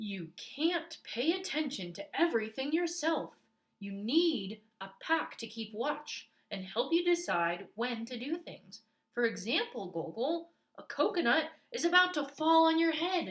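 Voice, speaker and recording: A woman's put-on character voice, gruff and high-pitched, with very wide pitch swings at a fairly slow pace. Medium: read story.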